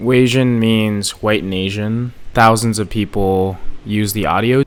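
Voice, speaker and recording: At a fairly slow pace, a man talks in a fairly low pitch with fairly even intonation. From California, Bay Area. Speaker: YouTuber and TikTok creator. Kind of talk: personal vlog talk to camera. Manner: casual.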